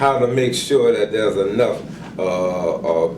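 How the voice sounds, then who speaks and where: With noticeable background noise and audible room echo, a man talks in an American accent. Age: 70s. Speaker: community organizer. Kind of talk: interview. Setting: care facility. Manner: halting, repeats words; impassioned.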